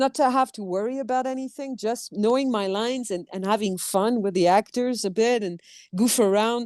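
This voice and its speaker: A woman with a fairly high pitch speaks against a quiet background. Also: dry, close sound with no echo. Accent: slight French. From France. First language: French. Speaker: actress. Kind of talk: interview conversation.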